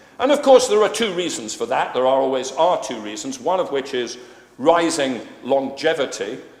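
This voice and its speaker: Over noticeable background noise and audible room echo, a man speaks at a moderate pace with fairly high pitch and lively intonation. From Scotland. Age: 60s. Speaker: economist speaking on pensions policy. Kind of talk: conference talk. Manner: hesitant fillers, frequent uh.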